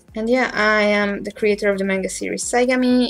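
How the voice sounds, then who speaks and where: With a Hungarian accent, a woman speaks with fairly even intonation. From Hungary. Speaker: manga artist. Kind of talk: live stream drawing commentary. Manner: casual, hesitant.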